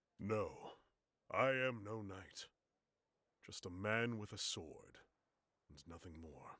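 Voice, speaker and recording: Using a put-on character voice, a man speaks fairly slowly at a fairly low pitch. Long pauses come often. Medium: video game. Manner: formal, measured.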